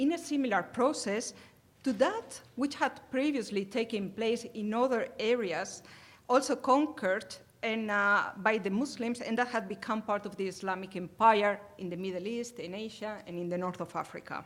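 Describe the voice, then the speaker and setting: At a moderate pace, a woman with a Spanish accent speaks in a fairly high voice with ordinary pitch variation. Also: very clean recording, silent background. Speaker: academic conference presenter. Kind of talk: conference talk. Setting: conference hall with audience. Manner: hesitant, many filler sounds.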